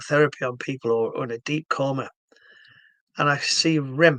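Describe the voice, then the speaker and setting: With a Yorkshire accent, a man talks at a moderate pace in a fairly high pitch, his tone bright and sharp, the sound dry and close with no echo. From northern England, Hull, Yorkshire. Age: 60s. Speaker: stroke therapy founder. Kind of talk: explanatory video talk. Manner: halting.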